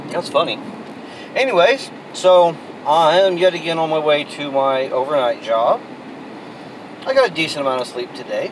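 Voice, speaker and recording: A man at a moderate pace, fairly high in pitch, with very wide pitch swings, long, frequent pauses and noticeable background noise. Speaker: vlogger. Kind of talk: casual vlog monologue. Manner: rambling, conversational.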